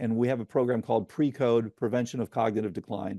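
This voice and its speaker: A man talks fairly quickly at medium pitch in a dark, mellow tone, his intonation fairly even. The sound is dry and close with no echo, over a quiet background. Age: 70s. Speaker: physician and neurodegenerative disease researcher. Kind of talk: interview. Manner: explanatory, conversational.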